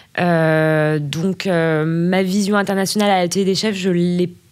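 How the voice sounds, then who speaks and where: A woman's fairly low voice keeps a fairly even intonation. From Burgundy, France. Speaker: finance director. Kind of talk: interview. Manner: halting, many fillers.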